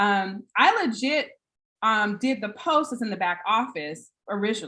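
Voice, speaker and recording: A woman's bright, sharp tone, fairly high in pitch, with lively intonation. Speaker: online business trainer. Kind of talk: motivational talk on a video call. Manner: fast.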